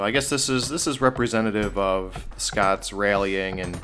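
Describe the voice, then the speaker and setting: With an ordinary speaking voice, a man talks at a moderate pace, his pitch fairly low and its variation ordinary. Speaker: gaming commentator. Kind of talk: casual let's play commentary. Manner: joking, rambling.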